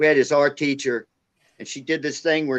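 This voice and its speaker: This is an ordinary speaking voice. The pace is fairly quick. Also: man. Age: 60s. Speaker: live stream participant. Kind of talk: casual chat, joke telling.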